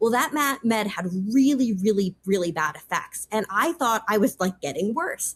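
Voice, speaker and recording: The voice is somewhat breathy, with an American accent and very wide pitch swings. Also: woman, fairly high pitch for a woman. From US Northeast, New York. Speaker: policy advisor. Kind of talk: interview. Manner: fast; casual, filler-heavy.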